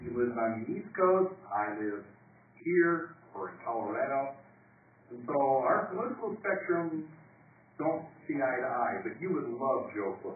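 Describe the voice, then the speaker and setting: A man with an American accent, fairly high-pitched, at a fairly slow pace with long, frequent pauses, very wide pitch swings and big swings in loudness, amid noticeable background noise and audible room echo. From Chicago. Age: old. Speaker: broadcaster, award-winning alumnus. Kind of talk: award acceptance speech. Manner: animated.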